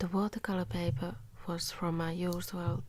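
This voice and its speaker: A soft-spoken woman. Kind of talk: ASMR drawing voice-over. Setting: home studio ASMR recording. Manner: soft-spoken, quiet.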